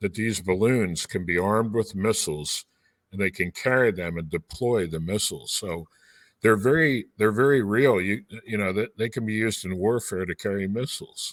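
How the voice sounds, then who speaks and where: In an American accent, a man with an unremarkable speaking voice, fairly low in pitch with ordinary pitch variation, speaks at a moderate pace on a very clean recording with a silent background. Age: 60s. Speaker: pastor. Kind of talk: live podcast discussion.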